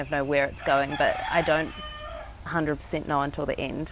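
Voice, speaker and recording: Fairly quick speech from a woman in a New Zealand accent. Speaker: street artist. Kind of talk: interview. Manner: halting.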